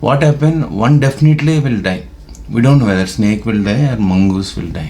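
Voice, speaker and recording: A man speaks with a Telugu accent and lively intonation. Noticeable background noise and audible room echo fill the recording. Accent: Indian (Telugu) English. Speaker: YouTuber. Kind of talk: casual monologue. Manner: halting, many fillers.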